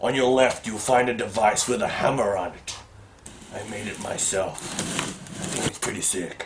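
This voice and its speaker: Moderately paced male speech in a put-on character voice, medium in pitch. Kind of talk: comic parody of horror villain. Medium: comedy sketch. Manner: clumsy, rambling.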